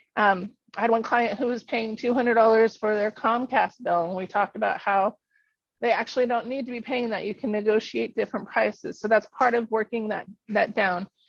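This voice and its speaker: A woman speaks with fairly even intonation at a fairly high pitch. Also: fairly quick pace. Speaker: financial coach. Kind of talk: workshop presentation. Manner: fast.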